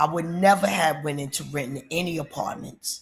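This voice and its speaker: An animated tone delivered at a fairly slow pace. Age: 60s. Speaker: vlogger giving housing advice. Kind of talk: casual monologue, advice vlog.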